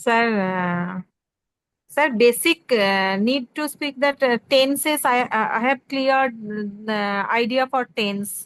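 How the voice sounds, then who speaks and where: A woman speaks at a very slow pace in a high voice, the sound dry and close with no echo. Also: ordinary pitch variation. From West Bengal, India. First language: Bengali. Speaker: student. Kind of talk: online class. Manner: halting.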